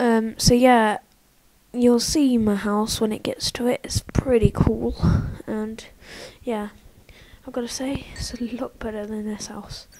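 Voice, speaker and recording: The speaker talks at a fairly slow pace. Background noise is noticeable throughout. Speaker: gaming youtuber. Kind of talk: let's play commentary. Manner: hesitant, filler-heavy.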